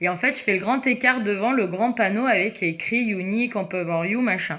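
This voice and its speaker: With a bright, sharp tone, a woman speaks at a medium pitch with ordinary variation. Her pace is moderate and her loudness very even. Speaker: makeup seller livestreamer. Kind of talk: casual livestream chat. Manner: animated.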